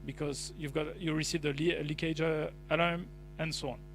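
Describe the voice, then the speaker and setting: In audible room echo, a man talks fairly quickly in a fairly high, monotone, flat voice. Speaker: tech company speaker. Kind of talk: conference presentation. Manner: fast.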